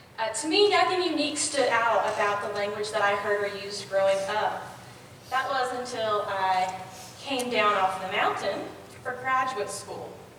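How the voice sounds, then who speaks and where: Fairly high in pitch and with lively intonation, a woman speaks with an American accent over noticeable background noise and audible room echo. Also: moderate pace. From western North Carolina mountains (Appalachia). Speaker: academic linguist, lecturer. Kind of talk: lecture. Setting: lecture hall with microphone.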